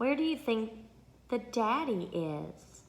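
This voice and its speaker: Here a woman speaks with a Southern US accent. Her pitch sits fairly high. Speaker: speech therapist. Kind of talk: tutorial; reading aloud. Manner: animated.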